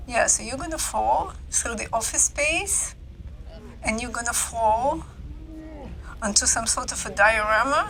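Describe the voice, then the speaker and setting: Spoken at a fairly slow pace with a non-native accent, the voice has long, frequent pauses and audible room echo. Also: woman. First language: not English. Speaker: gaming video creator. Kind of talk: game walkthrough voiceover commentary. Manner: casual, with hesitations and repetitions.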